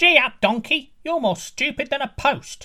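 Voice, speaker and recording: At a moderate pace, a put-on character voice speaks with high pitch. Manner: yelling.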